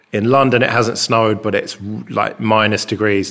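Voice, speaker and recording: A man talks at a moderate pace, his fairly low voice keeping fairly even intonation while noticeable background noise carries on. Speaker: podcast host. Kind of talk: casual chat. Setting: rented flat abroad. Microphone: echoey room.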